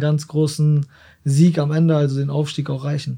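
The man's voice sits at a fairly high pitch. Its tone is dark and mellow, and somewhat breathy. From Germany, Osnabrück. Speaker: professional footballer. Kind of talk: casual interview.

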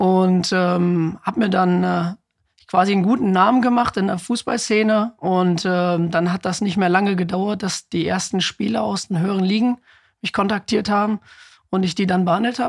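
A man speaks high in pitch at a moderate pace. His intonation stays fairly even on a very clean recording with a silent background. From northwestern Germany, Osnabrück area. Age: 20s. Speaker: football club physiotherapist. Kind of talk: interview conversation.

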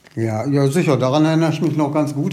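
A man speaks with fairly even intonation, with audible room echo and noticeable background noise. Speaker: newspaper culture editor and TV critic. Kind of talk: casual interview.

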